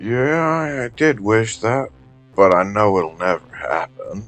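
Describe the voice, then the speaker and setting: Over faint music in the background, a man uses a put-on character voice at a medium pitch, with lively intonation and a fairly slow pace. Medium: audio drama.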